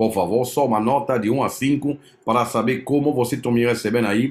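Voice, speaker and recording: At a fairly quick pace, a man speaks with a French accent. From France. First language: French (speaking Portuguese). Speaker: crypto investment promoter; presenter. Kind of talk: live stream presentation. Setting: live stream with chat. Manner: halting, many fillers. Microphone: webcam.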